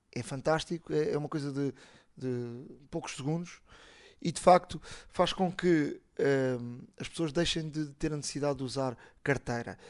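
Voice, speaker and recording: Pausing long and often, a man with a fairly high pitch talks at a moderate pace with fairly even intonation. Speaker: tech podcast host. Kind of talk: casual chat.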